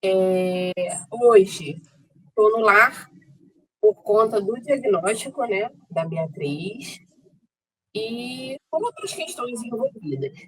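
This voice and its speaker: A woman's fairly high-pitched voice with lively intonation, at a very slow pace broken by long, frequent pauses. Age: 40s. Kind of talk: testimony.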